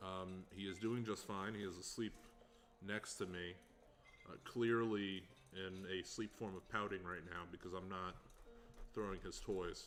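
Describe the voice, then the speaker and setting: A man's very deep, low voice, flat and monotone, relaxed in tone, fairly slow, with long, frequent pauses. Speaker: livestreamer building a hurdy gurdy. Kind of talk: casual livestream commentary while crafting. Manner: relaxed, with many filler words.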